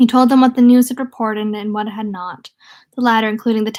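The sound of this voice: The delivery is an unforced reading voice with fairly even intonation. The background is quiet.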